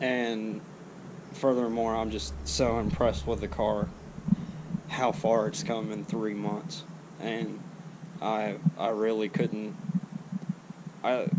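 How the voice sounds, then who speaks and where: A man at medium pitch speaks very slowly with very wide pitch swings and long, frequent pauses, in a room with audible echo. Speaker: car vlogger. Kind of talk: casual vlog. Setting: outdoors. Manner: stuttering.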